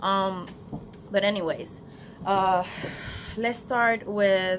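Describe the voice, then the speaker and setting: With a Spanish accent, the woman speaks at a medium pitch in a fairly even intonation. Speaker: beauty vlogger. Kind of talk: casual vlog to camera.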